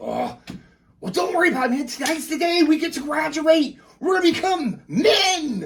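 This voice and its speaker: A man performs a put-on character voice at an extremely high pitch. His delivery is energetic and moderately paced. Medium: actual play. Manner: energetic, fast, excitable.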